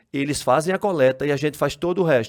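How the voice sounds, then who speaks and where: In a very clean recording with a silent background, a man with a northeastern Brazilian accent speaks at a fairly quick pace, his fairly high pitch carried by lively intonation. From Brazil, Northeast. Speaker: geneticist, research project coordinator. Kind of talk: conference talk. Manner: hesitant, with repetitions and self-corrections.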